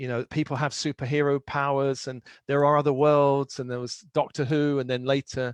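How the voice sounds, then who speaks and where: A man's fairly high voice in a London accent, monotone and flat, at a moderate pace, with a dry, close sound, no echo and a quiet background. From London, England. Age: 60s. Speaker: spiritual teacher and author. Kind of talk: interview.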